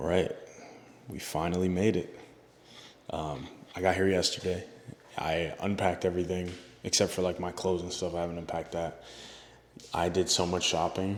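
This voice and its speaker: This man, with an American accent, has a very deep, low voice and monotone, flat intonation. He talks at a fairly quick pace but leaves long, frequent pauses. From New Jersey. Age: 20s. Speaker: vlogger. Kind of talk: casual vlog talk to camera. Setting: in a car.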